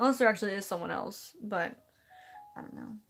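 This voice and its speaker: Her voice carries vocal fry, and the woman's pitch varies in an ordinary way. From California. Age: young. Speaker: live streamer. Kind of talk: casual chat. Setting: live stream. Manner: fast, halting.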